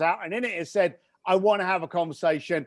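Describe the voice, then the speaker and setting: A man with a British accent speaks in an animated tone. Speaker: entrepreneur and author. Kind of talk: interview conversation. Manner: fast.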